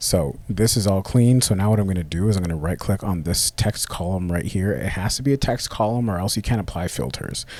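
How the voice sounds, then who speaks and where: A man's fairly low voice at a fairly quick pace, with ordinary pitch variation and hardly any pauses. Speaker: cold email marketing coach. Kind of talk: screen-share tutorial. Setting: live screen recording with camera. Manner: casual, occasional stumbles and self-corrections.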